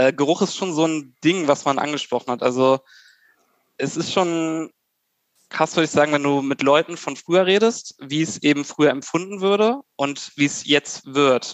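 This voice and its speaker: This man has an unremarkable speaking voice, pitched fairly high. He moves at a moderate pace with ordinary pitch variation. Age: 30s. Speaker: civil engineer. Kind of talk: casual chat.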